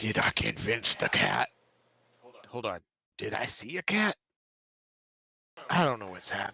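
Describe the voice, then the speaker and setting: A man uses a put-on character voice, raspy and raised, projected, at a medium pitch. He moves at a moderate pace with long, frequent pauses. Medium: actual play. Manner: rambling, hesitant.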